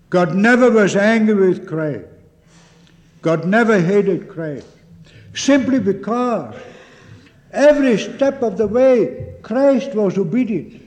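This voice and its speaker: A man with a high voice speaks at a very slow pace, pausing long and often. His intonation is lively, over noticeable background noise. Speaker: preacher. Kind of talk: 1950s sermon, solemn, pulpit exposition of a catechism Lord's Day. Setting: church. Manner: earnest, deliberate, fervent, formal; emphatic, with repeated address to the congregation as 'beloved'.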